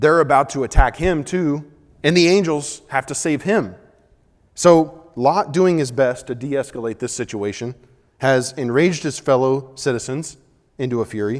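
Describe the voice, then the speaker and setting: A man speaks at a moderate pace in a fairly high pitch with ordinary pitch variation. His speech has long, frequent pauses. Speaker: Bible class teacher. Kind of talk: Bible class lecture. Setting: church auditorium with class.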